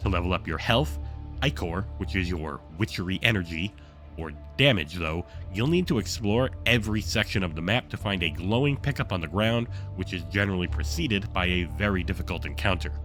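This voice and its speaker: Music plays in the background as a man talks at a fairly quick pace. His voice is very deep and low with ordinary pitch variation. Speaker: game reviewer. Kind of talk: video game review narration.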